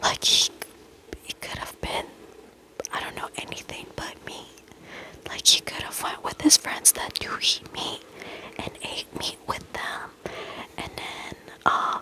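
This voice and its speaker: Whispering at a fairly slow pace, long pauses coming often, with noticeable background noise. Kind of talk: whispered reading of reddit posts with commentary, ASMR style. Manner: whispered.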